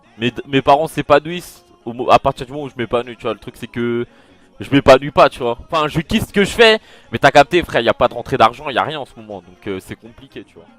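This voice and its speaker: A man with fairly high pitch talks at a fairly quick pace with lively intonation and big swings in loudness. The sound is dry and close with no echo, and music plays in the background. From France, Paris suburbs (Val-d'Oise). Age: 20s. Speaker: gaming streamer. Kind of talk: casual Q&A monologue. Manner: casual, slangy, hesitant.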